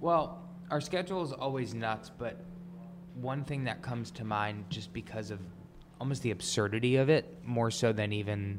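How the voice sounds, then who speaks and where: A man with an American accent, medium pitch, lively intonation and moderate pace, in audible room echo. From New York, Long Island. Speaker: DJ, producer and songwriter. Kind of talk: casual interview. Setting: office studio.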